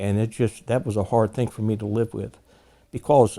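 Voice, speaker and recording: A man with an American accent, a medium pitch and a dark, mellow tone on a very clean recording with a silent background. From southern New Jersey. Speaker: war veteran. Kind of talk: testimony. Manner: halting.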